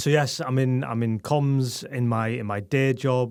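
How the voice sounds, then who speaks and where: A man with a Geordie accent speaks at a moderate pace in a medium pitch, his intonation fairly even. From northeast England, Newcastle. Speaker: tech communications director and newsletter editor. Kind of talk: interview. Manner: hesitant, many fillers and repeats.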